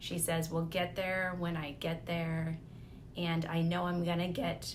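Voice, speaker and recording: A woman's somewhat breathy, fairly low voice at a fairly slow pace, with audible room echo. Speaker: lifestyle vlogger. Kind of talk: personal reflection monologue.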